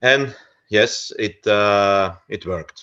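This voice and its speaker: Against a quiet background, a man speaks with a fairly low pitch and ordinary pitch variation. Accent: Flemish. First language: Dutch. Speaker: researcher of folk customs. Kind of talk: lecture. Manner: halting, many fillers.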